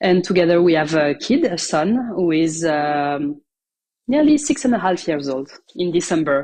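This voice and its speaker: With a French accent, this woman speaks at a fairly low pitch in a dark, mellow tone. Her intonation is lively. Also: moderate pace. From France. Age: 30s. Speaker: author and mother. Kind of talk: podcast interview. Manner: halting, many fillers.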